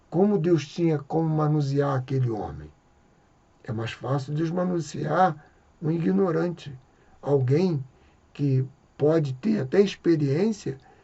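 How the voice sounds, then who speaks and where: This man has a fairly high pitch, ordinary pitch variation and a fairly slow pace. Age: 60s. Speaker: evangelical preacher. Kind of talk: religious reflection monologue.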